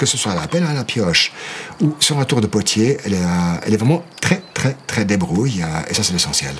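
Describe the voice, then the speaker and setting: A man's voice moves through very wide pitch swings over noticeable background noise. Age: 60s. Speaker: archaeological potter. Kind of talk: documentary interview.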